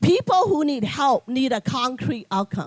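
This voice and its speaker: The speaker has a non-native accent and keeps a moderate pace. The sound is dry and close, with no echo. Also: woman. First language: not English. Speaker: nonprofit CEO, keynote speaker. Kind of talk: keynote speech. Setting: luncheon event with audience.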